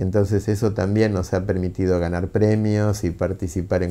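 Fairly low in pitch, a man's dark, mellow voice stays monotone and flat. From Argentina. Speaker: book publisher. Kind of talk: interview monologue; interview answer. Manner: halting, with filler words. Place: office. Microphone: lapel.

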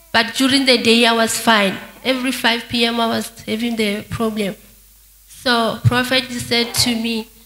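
A woman talks at a fairly slow pace. Her intonation is monotone and flat. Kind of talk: interview answer. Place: church. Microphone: handheld.

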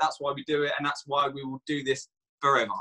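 Against a quiet background, the voice has a bright, sharp tone and moves at a fairly quick pace. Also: man. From England. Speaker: network marketing distributor; guest. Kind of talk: personal testimony. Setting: video call. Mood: warm, enthusiastic. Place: home room. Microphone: video call.

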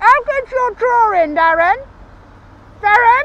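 A man puts on a character voice with very wide pitch swings. He speaks at a fairly slow pace. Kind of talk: character comedy monologue. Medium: stage.

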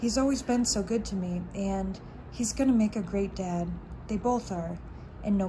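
Pitch moves in an ordinary way through a natural reading voice.

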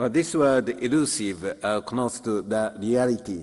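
In a quiet setting, a man is talking. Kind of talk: formal speech summarizing sessions. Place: hall. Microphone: podium.

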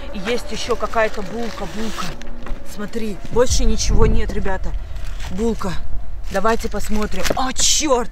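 A woman speaks at a fairly slow pace, with long, frequent pauses. The sound is dry with no echo, and there is noticeable background noise. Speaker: video blogger. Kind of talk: casual unboxing vlog chat. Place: tent. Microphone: phone near.

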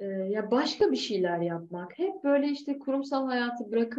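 A woman's high voice with a dark, mellow tone, very wide pitch swings, moderate pace. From Turkey. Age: 30s. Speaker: yoga and aerial hammock instructor; aerial hammock instructor. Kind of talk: interview. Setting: video call. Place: home room. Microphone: video call.

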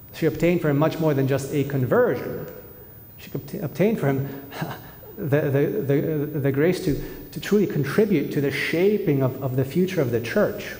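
The voice moves at a moderate pace with ordinary pitch variation, and audible room echo surrounds it. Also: man, fairly high pitch for a man. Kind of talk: homily. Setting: church. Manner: earnest; measured. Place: church. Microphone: podium.

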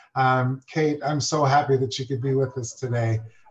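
Somewhat breathy, a man speaks in a medium pitch at a moderate pace with monotone, flat intonation. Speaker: conference organizer introducing speaker. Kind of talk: event introduction. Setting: virtual video call. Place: office. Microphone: video call.

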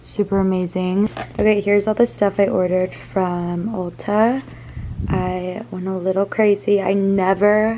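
A woman at a fairly slow pace with fairly even intonation over light background noise. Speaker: lifestyle vlogger. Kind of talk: casual vlog chat. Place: home room. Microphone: phone near.

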